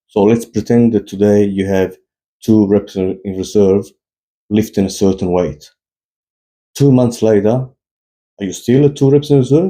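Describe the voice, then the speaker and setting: At a moderate pace, a man with a non-native accent speaks with ordinary pitch variation and long, frequent pauses. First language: not English. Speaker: fitness YouTuber. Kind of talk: opinion monologue. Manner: animated.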